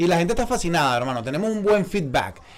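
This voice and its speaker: A man is speaking. His pace is very fast. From eastern Venezuela, Puerto La Cruz. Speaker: podcast host. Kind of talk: casual chat. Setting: studio. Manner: animated.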